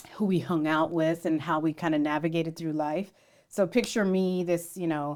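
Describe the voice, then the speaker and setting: With an American accent, a woman uses a normal speaking voice, fairly low in pitch, with fairly even intonation. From US West Coast, San Jose area. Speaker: podcast co-host. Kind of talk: casual chat.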